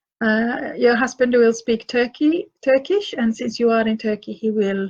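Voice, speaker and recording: A woman's fairly high voice in a Finland Swedish accent, fairly slow with hardly any pauses and ordinary pitch variation. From Finland, Swedish-speaking minority. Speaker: author and parenting advisor. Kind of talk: live Q&A session. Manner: halting, many fillers and repeats.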